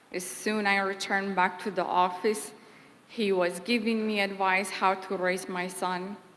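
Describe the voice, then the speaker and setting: In a Kurdish accent, a woman speaks at a fairly slow pace and medium pitch with monotone, flat intonation. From Kurdistan. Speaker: former employee giving eulogy. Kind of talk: eulogy.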